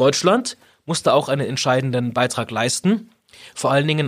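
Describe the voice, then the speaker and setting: There is a man speaking at a medium pitch with ordinary pitch variation. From Augsburg, Bavaria. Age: 40s. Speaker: politician. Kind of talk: interview.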